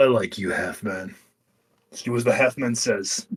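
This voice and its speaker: Putting on a raspy character voice, a man talks at a moderate pace with fairly even intonation and big swings in loudness. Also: medium pitch for a man. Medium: actual play. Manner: gruff, crude.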